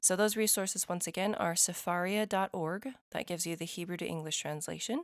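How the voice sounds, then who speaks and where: A woman with a fairly low pitch and vocal fry talks at a moderate pace with ordinary pitch variation. The sound is dry and close with no echo, on a very clean recording with a silent background. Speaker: lay scripture study podcaster. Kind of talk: scripture study talk. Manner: casual, conversational.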